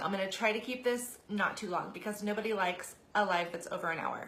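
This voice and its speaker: A woman is heard with audible room echo amid noticeable background noise. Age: 30s. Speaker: direct sales consultant. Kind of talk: live stream talk. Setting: live video broadcast. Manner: casual, chatty.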